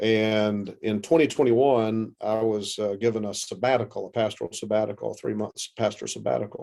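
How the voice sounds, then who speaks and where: A man's fairly low, dark, mellow voice in a Southern US accent, at a fairly quick pace with hardly any pauses and fairly even intonation. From US South, South Carolina. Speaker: pastor. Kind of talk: interview.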